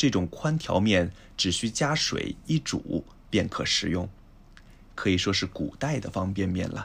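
Speaking at a very slow pace, a man's somewhat breathy voice sits at a fairly low pitch yet swings very widely in pitch. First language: Chinese (speaking Japanese). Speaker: language podcast co-host, Chinese teacher. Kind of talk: reading aloud.

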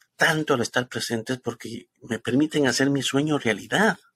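A man speaks at a moderate pace and medium pitch in a normal speaking voice. The recording is very clean, with a silent background. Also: dry, close sound with no echo. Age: 50s. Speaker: spiritual ministry host. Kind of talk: spiritual talk show chat.

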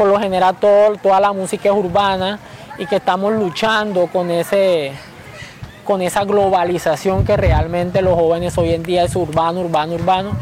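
A man's high voice at a moderate pace, fairly even in intonation, over noticeable background noise. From Colombia, Caribbean coast (Bolívar). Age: 20s. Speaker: dancer and dance group leader. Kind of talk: interview. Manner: halting, many fillers.

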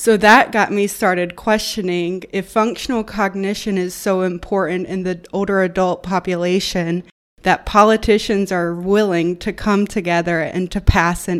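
In a Southern US accent, a woman speaks with monotone, flat intonation. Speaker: occupational therapy student and researcher. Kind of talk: casual interview about research.

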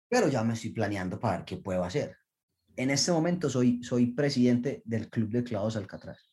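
A man with a medium pitch and a somewhat breathy voice speaks at a fairly quick pace with ordinary pitch variation. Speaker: Olympic diver. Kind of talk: interview.

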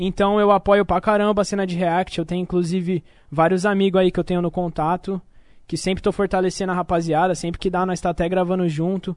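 The speech moves at a fairly quick pace with monotone, flat intonation. The background is quiet. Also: man, high pitch for a man. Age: 20s. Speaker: rapper. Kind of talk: casual chat.

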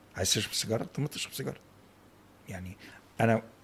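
The speaker is a man with a medium pitch. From Egypt, Cairo. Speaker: professor of Islamic art and architecture. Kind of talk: casual interview. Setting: home office. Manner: animated.

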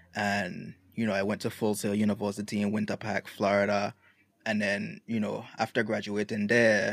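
A fairly low male voice with a Virgin Islands accent and monotone, flat intonation, dry and close with no echo, on a very clean recording against a silent background. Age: 20s. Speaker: music producer. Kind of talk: casual chat.

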